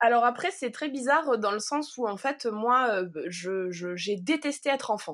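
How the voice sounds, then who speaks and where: In a very clean recording with a silent background, a woman speaks at a fairly slow pace with lively intonation. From southern France, Provence village. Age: 30s. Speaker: wool artist. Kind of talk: interview. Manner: halting.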